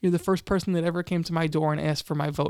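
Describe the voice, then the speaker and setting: A man with an American accent talks at a very fast pace in a high voice. The recording is very clean, with a silent background and a dry, close sound with no echo. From Long Island, New York. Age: 20s. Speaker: county legislator. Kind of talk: interview. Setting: studio. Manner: energetic; halting with many repetitions.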